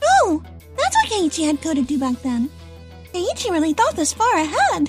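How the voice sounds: A woman uses a put-on character voice at an extremely high pitch, with very wide pitch swings. She keeps a moderate pace over faint music in the background.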